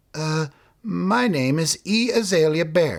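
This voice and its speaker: A put-on character voice from a man, fairly high-pitched and nervous in tone, at a fairly slow pace. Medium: read story. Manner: nervous, suspicious.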